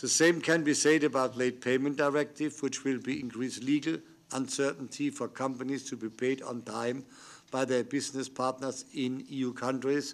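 The pace is moderate as a man speaks. Flat, monotone intonation runs throughout. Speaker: panel chair or politician. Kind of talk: formal speech. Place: meeting room. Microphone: podium.

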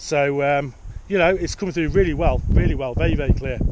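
A man talks very fast as loud background noise fills the recording. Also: dry sound with no echo. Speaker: radio hobbyist vlogger. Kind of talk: radio chat to a friend, product commentary. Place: open country. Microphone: phone near.

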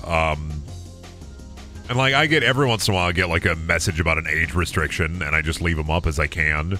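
Faint music plays in the background as a man with a low pitch and a bright, sharp tone talks at a fairly quick pace.

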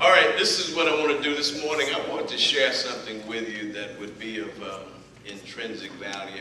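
A man speaks at a moderate pace. Audible room echo and light background noise surround his voice. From Texas. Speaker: preacher delivering a sermon. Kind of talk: sermon introduction. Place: church. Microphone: camera far.

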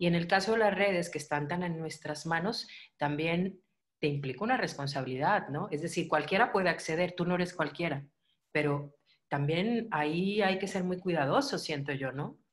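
A woman talks at a moderate pace in a plain, everyday voice, pitched fairly low with ordinary pitch variation. The background is quiet. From Mexico. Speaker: channel host; host interviewer. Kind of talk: interview conversation.

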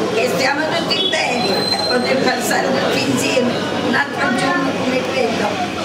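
A woman speaks at a moderate pace. The room echo is audible and the background noise is loud. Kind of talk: reading a prepared speech. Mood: warm, festive. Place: cafe. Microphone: camera far.

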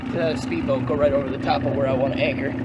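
Loud background noise fills the clip. A man is talking over it. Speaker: angler vlogger. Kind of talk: casual vlog chat. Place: boat. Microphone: phone near.

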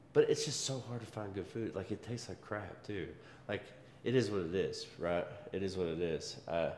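Light background noise and audible room echo can be heard in the recording. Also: man, fairly low pitch for a man, ordinary pitch variation, moderate pace. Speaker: fitness vlogger. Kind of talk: casual vlog chat. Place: gym. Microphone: camera far.

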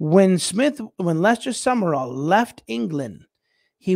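With an American accent, a man talks at a fairly slow pace in a high pitch with very wide pitch swings, the sound dry with no echo and the background quiet. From United States. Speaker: bishop and missionary, livestream show host. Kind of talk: casual livestream talk with Bible teaching. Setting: live stream. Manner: rambling, frequent fillers and repetitions. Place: home room. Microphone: studio mic.

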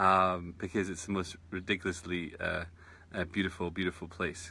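The tone is bright and sharp, at a moderate pace. The sound is dry, with no echo. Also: man. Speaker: meditation teacher. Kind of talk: casual live-stream chat. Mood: warm, enthusiastic. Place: garden. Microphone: phone near.

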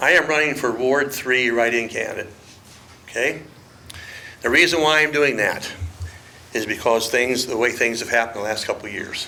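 Speaking at a fairly quick pace but with long, frequent pauses, a man with an American accent shows ordinary pitch variation, with audible room echo and noticeable background noise. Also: medium pitch for a man. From Ohio, Crawford County. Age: 70s. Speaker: write-in council candidate. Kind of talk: public comment at council meeting. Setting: city council meeting podium.

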